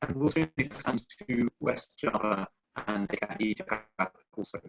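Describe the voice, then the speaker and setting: With an English accent and lively intonation, a man speaks at a medium pitch in a dry, close sound with no echo. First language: English (speaking Indonesian). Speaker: ambassador. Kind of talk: press conference speech. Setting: online webinar. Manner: halting, many fillers.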